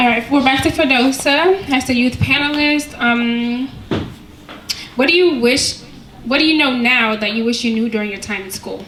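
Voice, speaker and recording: Loud and high-pitched, a woman speaks at a moderate pace with ordinary pitch variation over noticeable background noise. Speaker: panel moderator. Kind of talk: panel moderation.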